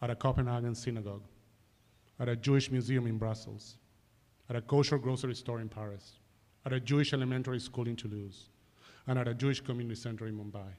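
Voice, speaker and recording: With an Argentine accent, a man at medium pitch speaks very fast in a monotone, flat delivery broken by long, frequent pauses. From Argentina, Buenos Aires. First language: Spanish. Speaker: advocacy organization director. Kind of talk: public address to a board. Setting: police board meeting. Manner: formal.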